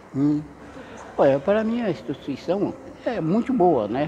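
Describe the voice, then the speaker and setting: A man's lively intonation over light background noise. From Bahia, Brazil. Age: 70s. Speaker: school support staff. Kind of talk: interview testimony. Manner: halting. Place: hall.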